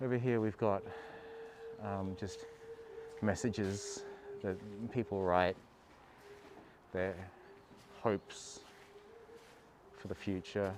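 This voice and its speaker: A man with a fairly low pitch talks at a very slow pace, leaving long, frequent pauses. His intonation stays fairly even. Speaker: travel vlogger. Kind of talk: live stream walking tour. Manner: casual, hesitant.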